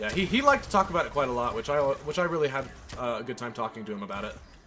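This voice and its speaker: A man with an American accent talks very fast in a fairly high pitch with lively intonation. Noticeable background noise and audible room echo fill the recording. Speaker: gaming streamer. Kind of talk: casual live stream chat. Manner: halting, stuttering.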